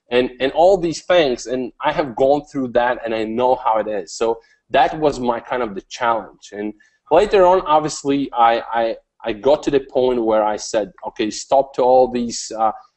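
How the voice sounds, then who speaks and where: A man speaks at a moderate pace with a non-native accent, his pitch medium and his intonation showing ordinary variation. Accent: foreign. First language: not English. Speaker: online marketing coach. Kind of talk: interview. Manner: hesitant, many fillers and repeats.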